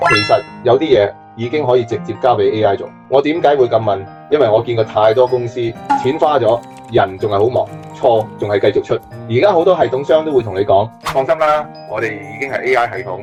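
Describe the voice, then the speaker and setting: There is music in the background. A man with a medium-pitched voice speaks with lively intonation. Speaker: enterprise AI consultant. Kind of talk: business explainer to camera.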